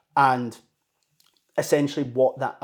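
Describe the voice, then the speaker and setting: A man of medium pitch speaks with a Scottish accent and fairly even intonation. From Scotland, Dunblane. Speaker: mental health personal trainer and coaching company founder. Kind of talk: casual interview.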